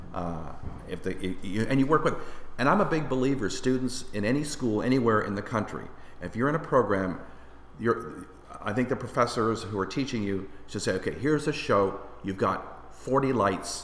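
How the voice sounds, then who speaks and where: Lively intonation in a Canadian accent at a moderate pace, with noticeable background noise. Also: man, medium pitch for a man. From Windsor, Ontario, Canada. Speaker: lighting designer. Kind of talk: casual interview chat.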